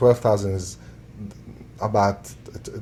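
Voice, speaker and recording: A man with an Arabic accent speaks fairly slowly in a fairly low voice, his pitch varying in an ordinary way, amid noticeable background noise. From Syria. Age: 30s. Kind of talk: interview answer.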